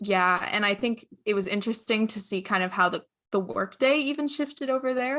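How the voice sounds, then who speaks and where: On a very clean recording with a silent background, a woman with a normal speaking voice talks at a moderate pace and medium pitch, with ordinary pitch variation. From Newfoundland, Canada. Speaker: medical and engineering graduate student. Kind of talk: casual chat.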